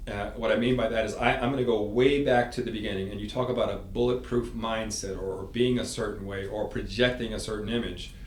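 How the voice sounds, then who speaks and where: Amid noticeable background noise and audible room echo, a man with an American accent talks at a very fast pace and medium pitch, with fairly even intonation. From New York City. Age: 60s. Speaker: sales consultant and former marine. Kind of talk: interview storytelling.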